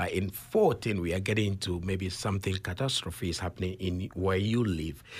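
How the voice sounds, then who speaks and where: A man with a very deep, low pitch speaks somewhat breathily and with fairly even intonation, hardly any pauses, on a very clean recording with a silent background. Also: moderate pace. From Ghana. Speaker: author and consultant. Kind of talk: interview.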